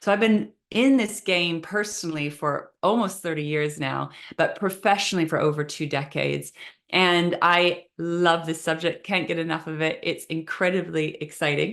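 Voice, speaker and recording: The woman has a fairly low pitch and ordinary pitch variation. She talks at a moderate pace against a quiet background. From Canada, Vancouver. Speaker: manifestation coach. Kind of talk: online training session.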